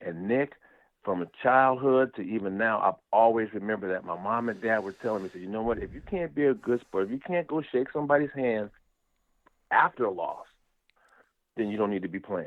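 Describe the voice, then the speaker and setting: Talking at a fairly quick pace and a medium pitch, a man has an ordinary speaking voice with ordinary pitch variation. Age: 60s. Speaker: former football player. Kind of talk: interview.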